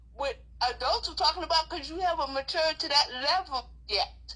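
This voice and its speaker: A woman speaks at an extremely high pitch in a raised, projected voice. Her intonation is lively and her pace moderate. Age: 60s. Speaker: grandmother fighting child protective services. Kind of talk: interview testimony. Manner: animated.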